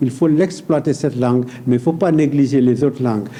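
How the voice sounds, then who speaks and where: A man talks with a Senegalese accent. His pace is moderate. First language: Pulaar (speaking French). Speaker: painter. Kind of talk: talk show interview. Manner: hesitant, repetitive.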